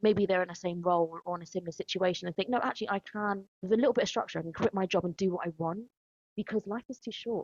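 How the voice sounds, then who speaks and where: A woman in a London accent talks at a very fast pace and medium pitch with ordinary pitch variation, the sound dry and close with no echo. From East London, of Ghanaian heritage. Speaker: podcast host, educator. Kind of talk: podcast conversation.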